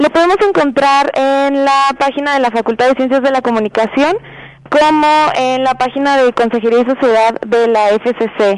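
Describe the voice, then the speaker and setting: Against noticeable background noise, a woman with a high pitch speaks at a moderate pace, with very even loudness and ordinary pitch variation. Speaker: student council member. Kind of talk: radio interview.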